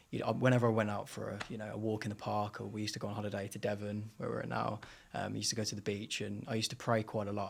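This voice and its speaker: Speaking very fast with a Brummie accent, a man uses a fairly low pitch, a flat monotone intonation and vocal fry. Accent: Birmingham (Brummie), toned down. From Birmingham, England (Erdington). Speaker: singer and rapper. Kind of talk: interview testimony. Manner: halting, many fillers.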